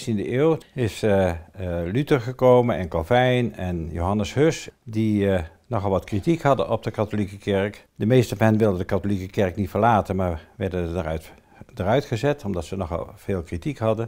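With a dark, mellow tone and lively intonation, the speech moves at a moderate pace against a quiet background. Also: man. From Netherlands, Ede (Gelderland); Netherlands. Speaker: cemetery manager. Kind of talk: local history storytelling interview. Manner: hesitant, many filler sounds. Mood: calm, storytelling. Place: home room.

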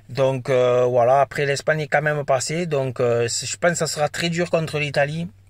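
A man talks at a moderate pace with fairly even intonation and sounds somewhat breathy. The recording is dry, with no echo and a quiet background. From France. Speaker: football YouTuber; football fan vlogger. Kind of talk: casual vlog monologue. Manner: hesitant, many fillers. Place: car. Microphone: phone near.

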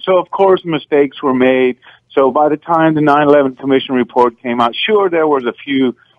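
With an American accent, a man in an unremarkable speaking voice talks at a fairly high pitch with ordinary pitch variation. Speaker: caller. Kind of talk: talk radio call-in. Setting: phone call.

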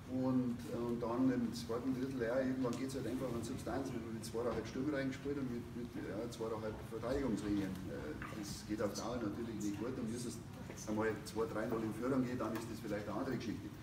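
With noticeable background noise, a man speaks at a fairly quick pace in a monotone, flat intonation. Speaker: ice hockey coach. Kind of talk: press conference. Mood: resigned, explaining heavy loss. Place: home room. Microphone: no microphone; camera far.

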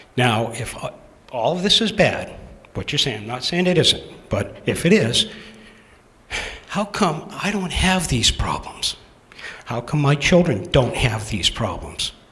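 A man with an American accent talks at a fairly slow pace, with long, frequent pauses and noticeable background noise. His fairly high pitch swings very widely. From Massachusetts. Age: 60s. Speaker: town resident. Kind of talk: public comment at town meeting. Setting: town meeting hall.

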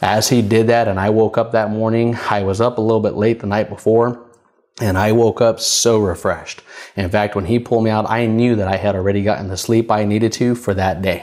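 Against a quiet background, the speaker moves at a fairly quick pace with monotone, flat intonation. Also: man. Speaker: minister / preacher. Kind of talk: prophetic spoken word, sermon delivery. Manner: conversational, friendly. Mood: warm, earnest. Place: studio. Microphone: lapel.

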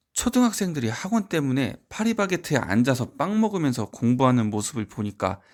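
A man with a plain, everyday voice talks at a fairly quick pace, his pitch medium and his intonation lively. The recording is very clean, with a silent background. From rural provincial South Korea. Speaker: private academy tutor and education YouTuber. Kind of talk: scripted talk to camera. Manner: formal.

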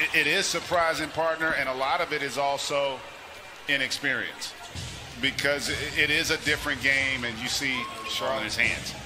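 With music in the background, a man talks in a fairly high pitch. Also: fairly even intonation, moderate pace. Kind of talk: live TV basketball commentary, analyst-style play-by-play.

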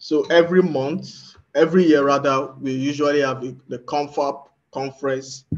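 Speaking at a moderate pace with hardly any pauses, a man keeps a monotone, flat intonation. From Nigeria. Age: young. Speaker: community moderator. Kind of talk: casual chat. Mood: warm, smiling. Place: home room. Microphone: video call.

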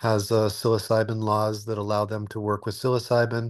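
The background is quiet. A man speaks at a moderate pace in a flat monotone. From Alaska. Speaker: retreat center developer. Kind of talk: interview. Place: home room. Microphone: webcam.

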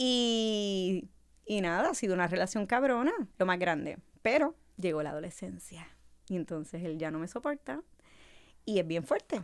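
Over a quiet background, a woman speaks at a moderate pace with lively intonation and long, frequent pauses. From Puerto Rico, Carolina. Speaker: casting director. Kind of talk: casual interview. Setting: studio. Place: studio. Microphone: studio mic.

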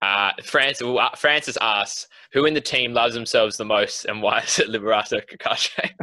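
Over a quiet background, a man talks with an Australian accent. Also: fairly quick pace. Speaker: podcast co-host. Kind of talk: casual chat. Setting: video call. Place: home room. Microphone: video call.

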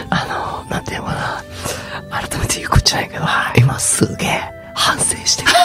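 Someone whispers at a fairly quick pace, with long, frequent pauses, over clear music in the background. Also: man. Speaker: voice actor. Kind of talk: radio show banter between two voice actors. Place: studio. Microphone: studio mic.

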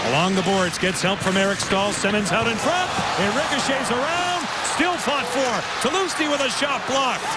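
A man speaks at an extremely high pitch with very wide pitch swings and very even loudness. His moderate pace is heard over noticeable background noise. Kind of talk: live commentary. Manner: excitable on goals.

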